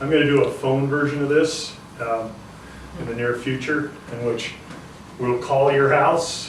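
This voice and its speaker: A man's fairly high voice at a fairly slow pace, with fairly even intonation, long, frequent pauses, audible room echo and noticeable background noise. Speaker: state legislator. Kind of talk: town hall address. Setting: town hall meeting at a fire station.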